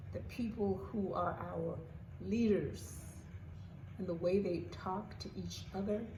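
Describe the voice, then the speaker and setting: Audible room echo surrounds a woman's voice. She talks at a very slow pace with long, frequent pauses. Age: 80s+. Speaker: vlogger. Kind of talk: casual monologue. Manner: halting.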